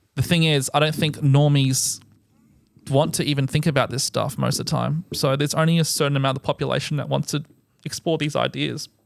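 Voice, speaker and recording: Here a man with an Australian accent talks at a fairly quick pace. His fairly high voice stays monotone, with flat intonation. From Australia, Adelaide, Greek family. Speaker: political commentator. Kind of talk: podcast interview.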